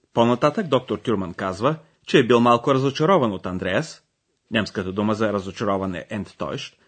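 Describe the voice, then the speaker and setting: A man speaks with very wide swings in pitch. The background is quiet. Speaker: language course presenter. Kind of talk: language lesson narration. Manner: formal.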